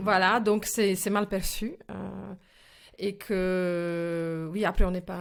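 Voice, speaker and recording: A woman's voice at a medium pitch. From former Czechoslovakia. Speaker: actress and film director. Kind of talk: interview answer. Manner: energetic, passionate.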